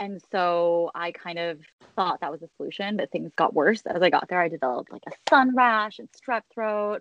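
A woman uses an ordinary speaking voice with lively intonation and big swings in loudness, at a moderate pace with hardly any pauses. The sound is dry and close, with no echo. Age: 30s. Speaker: business founder. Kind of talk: interview.

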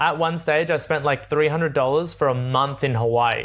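Talking at a fairly quick pace, a man speaks with an Australian accent. His pitch is fairly high. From Australia, Sydney. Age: 20s. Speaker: travel content creator. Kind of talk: interview. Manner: animated.

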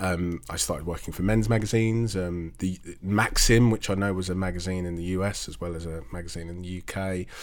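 This man has a very deep, low pitch and fairly even intonation. He talks at a fairly quick pace with hardly any pauses. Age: 30s. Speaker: restaurant critic. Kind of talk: interview.

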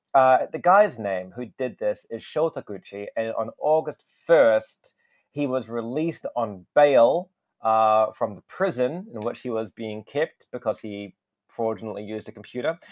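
A fairly slow delivery in a New Zealand accent, with lively intonation and big swings in loudness. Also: man, medium pitch for a man. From New Zealand, Wellington. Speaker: international news correspondent. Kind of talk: casual news chat.

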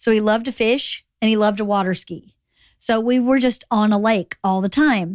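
A woman with a plain, everyday voice and fairly high pitch speaks at a moderate pace with fairly even intonation, in a dry, close sound with no echo and a very clean recording with a silent background. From Georgia, US South. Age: 50s. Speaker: podcast host. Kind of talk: casual chat. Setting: studio.

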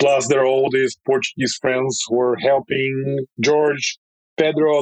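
In a Russian accent, a man speaks at a very slow pace, the sound dry and close with no echo. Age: 30s. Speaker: bike company founder. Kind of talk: interview. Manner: halting.

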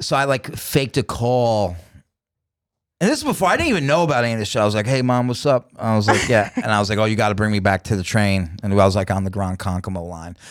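Very fast speech with a New York accent. The recording is very clean, with a silent background. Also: man, fairly low pitch for a man, ordinary pitch variation. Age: 40s. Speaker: comedian. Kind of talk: casual chat.

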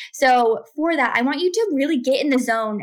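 A woman's high-pitched, animated voice with ordinary pitch variation. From Kentucky. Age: 20s. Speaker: business mentor and podcast host. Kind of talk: casual interview with coaching advice.

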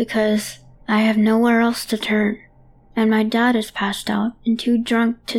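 An unforced reading voice carries the whole clip.

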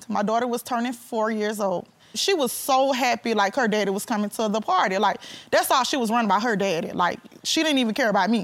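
Speaking at a fairly quick pace, a woman has a fairly high pitch and ordinary pitch variation. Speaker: litigant in a TV court case. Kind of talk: courtroom testimony.

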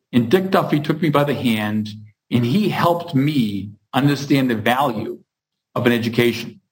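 An unremarkable speaking voice belongs to a man with an American accent, medium pitch and ordinary pitch variation. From Massachusetts (Hingham, near Boston). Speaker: construction company CEO. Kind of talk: interview.

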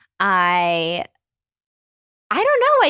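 A woman's voice, dry and close with no echo. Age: 20s. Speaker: podcast guest, former podcast regular. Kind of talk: casual chat. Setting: studio in Malibu, in person.

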